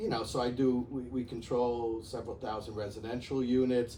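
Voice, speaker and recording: Noticeable background noise runs under this recording. A man with a Bronx accent speaks at a medium pitch in a monotone, flat intonation. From New York, the Bronx. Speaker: real estate executive. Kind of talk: interview. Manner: halting, many fillers.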